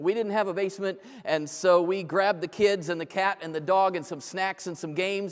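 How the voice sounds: Fairly even intonation in a natural reading voice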